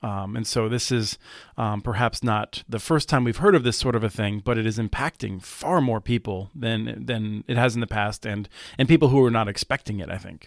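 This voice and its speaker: Recorded very cleanly against a silent background, dry and close with no echo, a man speaks in an ordinary speaking voice at a medium pitch, with ordinary pitch variation and a moderate pace. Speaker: broadband policy expert, co-host. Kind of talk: casual banter and discussion. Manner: joking, humorous.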